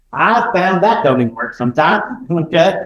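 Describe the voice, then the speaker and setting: Loud speech comes with an American accent. The pitch swings very widely. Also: man. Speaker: education company representative. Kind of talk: conference talk. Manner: animated.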